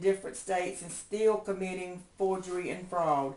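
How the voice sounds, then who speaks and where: A woman's medium-pitched voice against noticeable background noise. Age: 70s. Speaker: homeowner activist. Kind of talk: public appeal. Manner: halting.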